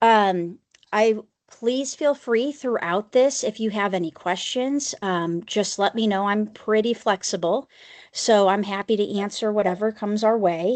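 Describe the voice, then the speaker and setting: Against a quiet background, a woman talks at a fairly slow pace in an ordinary speaking voice, her fairly high pitch showing ordinary pitch variation. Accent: American. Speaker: special education advocate. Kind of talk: conference presentation.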